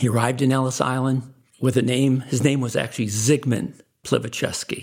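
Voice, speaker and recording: Here a man speaks at a moderate pace and medium pitch. Vocal fry runs through his voice. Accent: American. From Chicago, US Midwest. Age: 60s. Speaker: businessman. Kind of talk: interview, life story.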